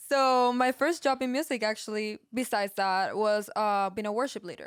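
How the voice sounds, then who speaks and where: In a very clean recording with a silent background, a woman with a Peruvian accent talks at a moderate pace in a fairly high pitch with ordinary pitch variation. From Peru, Lima. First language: Spanish. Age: 20s. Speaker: podcast co-host, music engineer. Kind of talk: casual chat.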